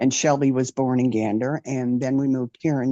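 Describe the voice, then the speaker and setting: A woman with a Newfoundland accent, very deep and low in pitch, dark and mellow in tone, at a moderate pace, with a dry, close sound with no echo and a quiet background. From Newfoundland, Canada. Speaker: retired military aircraft technician. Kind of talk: interview testimony. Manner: hesitant, many fillers.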